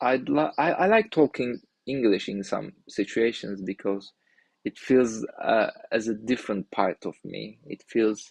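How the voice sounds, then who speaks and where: Speaking at a fairly slow pace with a Turkish accent, a man is recorded with a dry, close sound and no echo. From Turkey. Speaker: indie developer streamer. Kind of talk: live stream talk. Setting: live stream. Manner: halting, many restarts.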